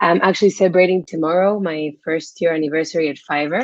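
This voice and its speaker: A woman's fairly low voice with a Spanish accent and ordinary pitch variation. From Spain. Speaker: freelance platform manager. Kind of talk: webinar presentation.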